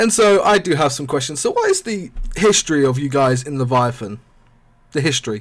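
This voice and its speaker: A man with a British accent speaks at a fairly quick pace. His fairly high voice rises and falls in a lively way. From Britain. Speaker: gaming podcast host. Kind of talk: casual interview.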